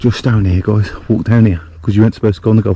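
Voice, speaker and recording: Very fast speech over noticeable background noise. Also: man. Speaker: solo camping vlogger. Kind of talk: casual vlog narration. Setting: outdoors. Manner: whispering.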